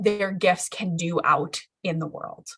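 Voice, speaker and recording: A woman's somewhat breathy, medium-pitched voice at a fairly slow pace, with fairly even intonation. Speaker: educational consultant. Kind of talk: live-streamed training. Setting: live stream. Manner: casual with many fillers.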